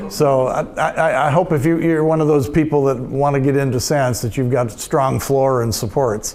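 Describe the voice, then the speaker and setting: With audible room echo, a man speaks at a moderate pace and a fairly high pitch, with ordinary pitch variation and very even loudness. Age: 70s. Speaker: retired coin magazine editor, convention speaker. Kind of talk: convention talk with audience Q&A. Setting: stage with audience. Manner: halting, many repeated words.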